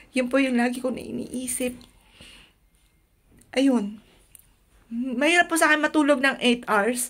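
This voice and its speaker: A high-pitched woman at a fairly slow pace, fairly even in intonation, with long, frequent pauses against a quiet background. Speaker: vlogger. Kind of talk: personal testimony vlog. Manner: loud at times. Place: home room. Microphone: phone near.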